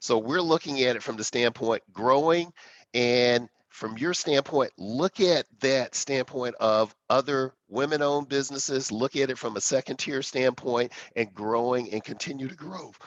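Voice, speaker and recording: A man with an ordinary speaking voice, medium pitch and ordinary pitch variation at a moderate pace, in a dry, close sound with no echo and a quiet background. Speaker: corporate executive, webinar panelist. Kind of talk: webinar panel discussion. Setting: online webinar.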